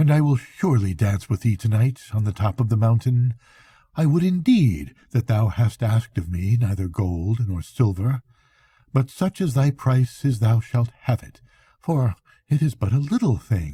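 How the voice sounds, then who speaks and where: On a very clean recording with a silent background, a man uses a put-on character voice at a medium pitch and a moderate pace. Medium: read story.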